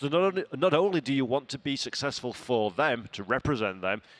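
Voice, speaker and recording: Here a man with a Yorkshire accent speaks at a medium pitch with lively intonation. The background is quiet. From Yorkshire, northern England. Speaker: sim racing commentator. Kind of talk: live commentary banter. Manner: animated.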